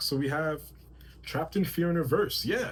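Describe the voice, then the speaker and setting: Somewhat breathy, the voice moves at a fairly quick pace with lively intonation. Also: man. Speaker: tarot reader and spiritual channeler. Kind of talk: channeled tarot reading. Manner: fast; halting, self-correcting.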